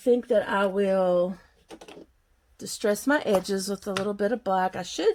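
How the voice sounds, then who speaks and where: With a Southern US accent, a woman speaks at a moderate pace and medium pitch, keeping her intonation fairly even and leaving long, frequent pauses. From Kentucky, US South. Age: 50s. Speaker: crafter. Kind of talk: craft tutorial chat. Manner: casual, chatty.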